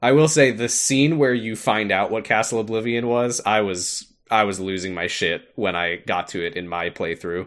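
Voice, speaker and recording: On a very clean recording with a silent background, a man speaks in an ordinary speaking voice at a moderate pace with hardly any pauses, his fairly low pitch showing ordinary variation. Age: 20s. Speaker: podcast co-host. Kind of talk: casual chat.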